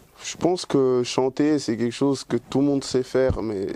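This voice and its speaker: Noticeable background noise runs through the clip. A man is speaking. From Dominican Republic, grew up in Switzerland. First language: Spanish (speaking French). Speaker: singer. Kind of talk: interview. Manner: hesitant, many fillers and repetitions.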